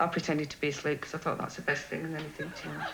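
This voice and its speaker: A woman with a Yorkshire accent speaks in a very deep, low voice with monotone, flat intonation amid noticeable background noise. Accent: broad Yorkshire. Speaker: game show contestant. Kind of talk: recorded interview recounting a date; studio chat with host.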